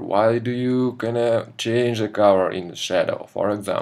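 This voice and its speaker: A man with a non-native accent speaks at a very slow pace, medium in pitch with fairly even intonation. His tone is dark and mellow, in a very clean recording with a silent background. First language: not English. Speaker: concept artist. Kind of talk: tutorial. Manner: halting, many fillers.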